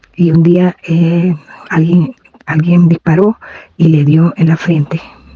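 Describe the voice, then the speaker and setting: In a dry, close sound with no echo, a woman with a fairly low pitch speaks very slowly in a monotone, flat intonation at very even loudness. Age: 70s. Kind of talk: testimony.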